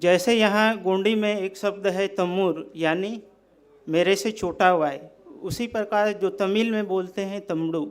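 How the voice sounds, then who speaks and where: Here a man with a Central Indian accent has a high-pitched voice. His intonation stays fairly even. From Bastar, Chhattisgarh. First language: Gondi (speaking Hindi). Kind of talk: speech.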